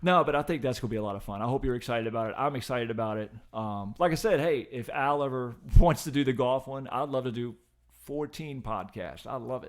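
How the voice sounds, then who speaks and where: Very fast speech from a man with an American accent, medium pitch and ordinary pitch variation. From Richmond, Virginia area. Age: 50s. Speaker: podcast guest and occasional co-host. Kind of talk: casual chat.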